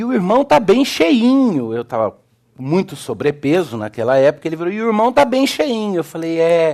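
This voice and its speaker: With an animated tone, a man's fairly high voice makes very wide pitch swings. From Brazil, Belo Horizonte. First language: English (speaking Portuguese). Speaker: pastor, theology lecturer. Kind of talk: sermon. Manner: animated storytelling.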